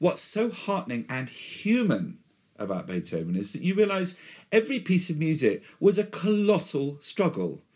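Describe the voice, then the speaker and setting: On a very clean recording with a silent background, a man speaks at a moderate pace with a high pitch and lively intonation. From West Country, England. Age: old. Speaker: orchestra conductor. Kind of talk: interview.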